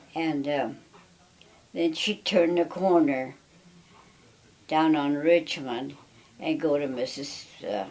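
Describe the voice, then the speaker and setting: At a very slow pace with long, frequent pauses, a woman speaks in a very deep, low pitch with ordinary pitch variation. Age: 90s. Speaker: family elder recounting memories. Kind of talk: oral history interview. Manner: halting.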